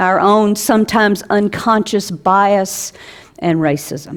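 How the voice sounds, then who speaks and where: A woman speaks with an Alabama accent. Her pace is very slow. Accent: Southern US (Alabama). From US South, South Alabama. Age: 60s. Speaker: pastor. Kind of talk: sermon.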